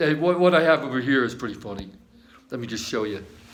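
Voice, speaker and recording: The recording of a man carries audible room echo. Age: 60s. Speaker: amateur guitarist recording a video message to an old army friend. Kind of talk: casual personal video message. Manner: rambling with frequent restarts and fillers.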